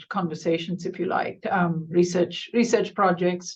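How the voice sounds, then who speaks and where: Her voice is somewhat breathy and fairly low for a woman. She speaks at a moderate pace with monotone, flat intonation. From India. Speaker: professor. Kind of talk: panel discussion. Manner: halting, many fillers.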